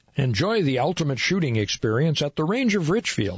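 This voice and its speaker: Speaking at a moderate pace with an American accent, a man with a fairly high voice shows vocal fry and very wide pitch swings. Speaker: radio host. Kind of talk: radio interview. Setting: studio.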